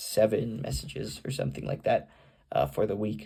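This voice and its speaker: A man speaks at a fairly quick pace in a dark, mellow tone with vocal fry. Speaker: vlogger. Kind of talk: casual vlog monologue. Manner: halting, many fillers.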